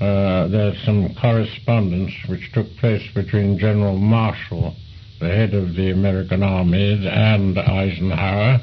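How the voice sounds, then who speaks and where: At a fairly slow pace, a man speaks with a fairly low pitch over noticeable background noise. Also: fairly even intonation. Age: 80s+. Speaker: retired air force commander. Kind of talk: oral history interview answer. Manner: passionate.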